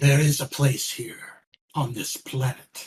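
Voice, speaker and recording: Using a put-on character voice, a man delivers lines at a fairly slow pace in a fairly high pitch with monotone, flat intonation. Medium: actual play.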